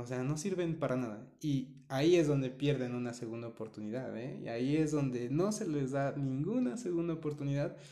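In a dark, mellow tone, a man speaks at a moderate pace with a fairly high pitch and ordinary pitch variation. Audible room echo surrounds his voice. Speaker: podcast co-host. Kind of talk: casual chat.

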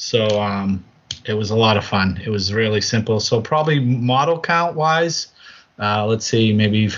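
With a New England accent, a man speaks at a fairly slow pace. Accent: New England American. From Massachusetts, US. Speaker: podcast co-host, tabletop wargamer. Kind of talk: casual chat.

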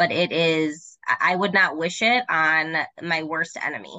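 This woman has an unremarkable speaking voice, fairly low in pitch. Her pitch varies in an ordinary way. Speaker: podcast co-host and trauma therapist. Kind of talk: casual interview conversation.

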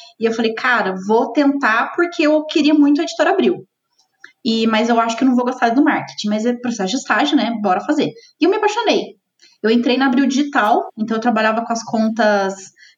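At a fairly quick pace, a woman with a high pitch speaks with lively intonation. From southern Minas Gerais, Brazil. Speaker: head of marketing. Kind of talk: interview.

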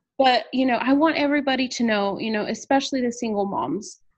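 A woman with an American accent talks at a moderate pace with ordinary pitch variation. Hers is an unremarkable speaking voice. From Texas, San Antonio. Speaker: worship leader and nonprofit founder. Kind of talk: interview.

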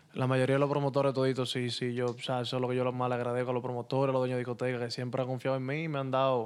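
A man at medium pitch, very fast and with hardly any pauses, flat and monotone, over noticeable background noise. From Santo Domingo, Dominican Republic (Los Mina). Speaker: DJ. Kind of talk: casual interview.

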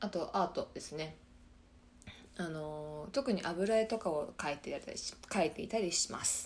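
Her fairly low-pitched voice moves with lively intonation at a moderate pace. This woman leaves long, frequent pauses. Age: 20s. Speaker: podcast host, systems engineer. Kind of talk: casual solo talk. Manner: halting.

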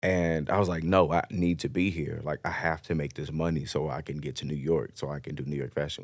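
A man's very deep, low voice with vocal fry and an American accent, at a fairly quick pace, with fairly even intonation, big swings in loudness, and a very clean recording with a silent background. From Chicago, South Side. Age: 20s. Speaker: streetwear designer. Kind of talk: casual chat.

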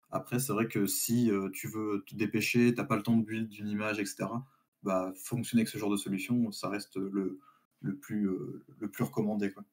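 A moderate pace with fairly even intonation. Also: man. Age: 20s. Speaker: IT student and work-study apprentice. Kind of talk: live-streamed tech discussion. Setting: live stream.

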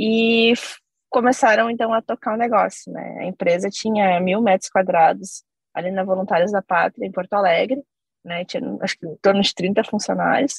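Recorded dry and close with no echo, a woman with vocal fry speaks at a medium pitch and moderate pace with ordinary pitch variation. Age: 30s. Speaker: company CEO. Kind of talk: interview.

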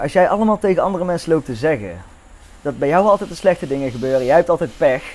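A man at a very fast pace with fairly high pitch. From Netherlands. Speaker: podcast guest, friend of the host. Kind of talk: casual chat.

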